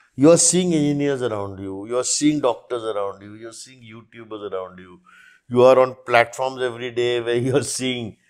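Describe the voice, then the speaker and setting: The speaker goes very fast, with ordinary pitch variation and big swings in loudness. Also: man, quiet background. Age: 50s. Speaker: author of a military biography; podcast guest. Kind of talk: podcast interview. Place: studio. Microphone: lapel.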